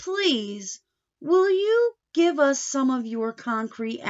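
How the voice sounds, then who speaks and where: A woman puts on a character voice, speaking very slowly in a high pitch with very wide pitch swings. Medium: read story. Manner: polite, in unison.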